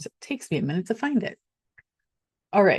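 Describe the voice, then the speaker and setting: A woman's voice carries vocal fry in a dry, close recording with no echo. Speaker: real estate agent. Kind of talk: tutorial. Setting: screen share recording.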